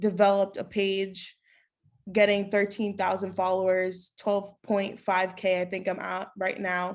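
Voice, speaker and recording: With an American accent, a woman speaks in a medium pitch and a monotone, flat intonation. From Queens, New York. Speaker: sports journalist. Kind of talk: interview.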